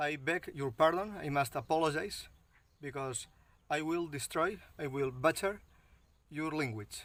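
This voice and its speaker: A man speaks with a Catalan accent at a fairly high pitch and a fairly slow pace. The recording is very clean, with a silent background. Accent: non-native English, Catalan. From Catalonia, Spain (Maestrat, Valencian country). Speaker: bushcraft instructor. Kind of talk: outdoor tutorial. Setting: outdoors, backyard; outdoors near a road. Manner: halting, with fillers.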